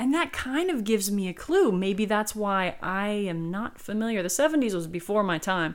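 A woman's normal speaking voice with an American accent, medium in pitch, with lively intonation, a moderate pace and hardly any pauses. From South Carolina. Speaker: podcast host and dictionary co-author. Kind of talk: educational podcast monologue with readings. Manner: casual, with frequent fillers.

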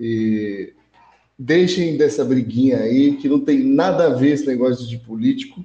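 In a dark, mellow tone, a man speaks at a fairly slow pace and medium pitch with ordinary pitch variation. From Brazil, Hortolândia (São Paulo state). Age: 20s. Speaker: podcast guest. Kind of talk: casual chat.

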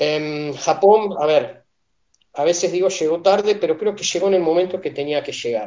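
Pitched high, a man's voice moves at a moderate pace with ordinary variation in pitch. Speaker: martial arts instructor. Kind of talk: casual chat.

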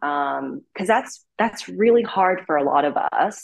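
Here a woman with an unremarkable speaking voice talks at a fairly slow pace with lively intonation. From Vancouver, Canada. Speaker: fashion content creator. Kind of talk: interview.

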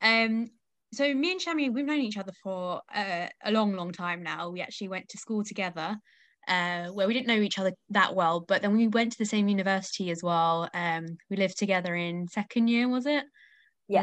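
Against a quiet background, a woman speaks at a moderate pace with medium pitch and ordinary pitch variation. She has a normal speaking voice. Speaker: podcast host. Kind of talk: casual interview chat. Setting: remote call.

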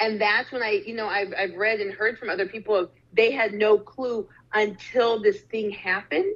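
A woman with an American accent and a plain, everyday voice talks at a moderate pace, fairly high in pitch, with fairly even intonation. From Arizona. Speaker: social justice speaker and startup founder. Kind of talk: interview.

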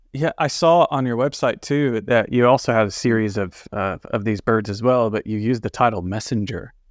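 A man with an American accent talks at a fairly quick pace with hardly any pauses, his medium pitch showing ordinary variation against a quiet background. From Texas. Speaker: podcast host. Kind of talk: casual interview. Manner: hesitant, many uh fillers.

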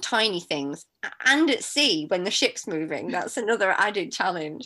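Over a quiet background, a woman at medium pitch speaks with lively intonation and a bright, sharp tone. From northern England, Manchester. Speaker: marine scientist. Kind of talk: interview.

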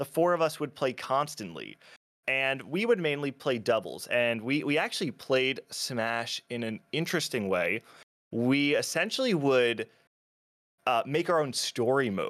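In a very clean recording with a silent background, a man with a normal speaking voice talks with an American accent, his fairly high pitch carried by lively intonation. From New Jersey, US. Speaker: video creator and documentary maker in the melee scene. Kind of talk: casual interview chat.

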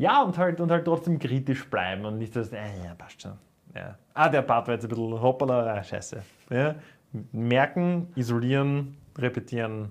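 A man with a normal speaking voice talks at a medium pitch and a moderate pace, with lively intonation. His loudness swings widely against a quiet background. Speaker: metal podcast co-host, musician. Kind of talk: casual chat.

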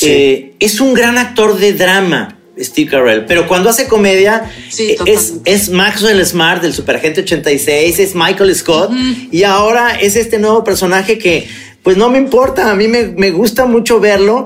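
A man's high-pitched voice at a fairly slow pace, with ordinary pitch variation, very even loudness, and noticeable background noise. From Guadalajara, Mexico. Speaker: film podcast co-host. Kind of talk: casual chat about films and series.

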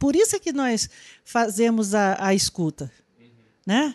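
The voice moves at a fairly slow pace with lively intonation. The sound is dry and close with no echo, over a quiet background. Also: woman. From Brazil, Amazonas (Manaus). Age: 50s. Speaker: social worker. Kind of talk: interview. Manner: halting.

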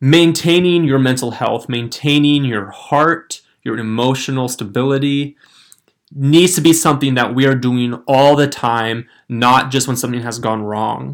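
At a fairly slow pace, a man talks with a medium pitch and ordinary pitch variation. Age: 20s. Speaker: podcast host. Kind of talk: casual solo talk.

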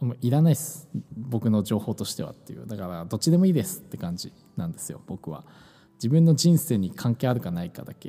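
Somewhat breathy and dark, mellow in tone, the voice races at a very fast pace with very wide pitch swings and big swings in loudness. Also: man, medium pitch for a man. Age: 20s. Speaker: podcast co-host. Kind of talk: casual chat. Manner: hesitant, many fillers.

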